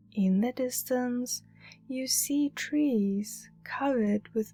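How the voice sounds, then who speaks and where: A woman's soothing tone at a very slow pace, fairly even intonation, music in the background. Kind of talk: guided meditation narration. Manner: slow, calming, soothing.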